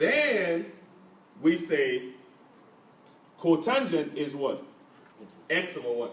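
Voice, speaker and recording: Amid noticeable background noise and audible room echo, the speaker goes very slowly, with very wide pitch swings and long, frequent pauses. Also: man, high pitch for a man. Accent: African. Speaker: math teacher. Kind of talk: classroom lesson. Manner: interactive call-and-response questioning.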